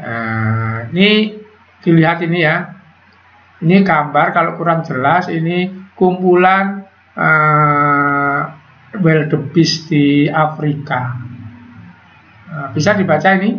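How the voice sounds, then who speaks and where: A man speaks at a very slow pace, his pitch fairly high with ordinary variation. Long, frequent pauses break his speech, and room echo is audible. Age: 60s. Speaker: teacher. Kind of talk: online class lecture.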